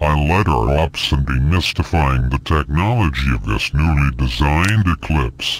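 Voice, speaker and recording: In a put-on character voice, a man speaks at a very deep, low pitch with lively intonation and a moderate pace. His loudness stays very even, he hardly pauses, and light background noise can be heard. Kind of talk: in-lore mockumentary testimony. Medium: machinima. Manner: grave, earnest, declamatory.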